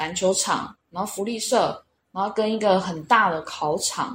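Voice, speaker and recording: A woman with a somewhat breathy voice speaks with ordinary pitch variation. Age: 30s. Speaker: language school student. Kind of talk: interview.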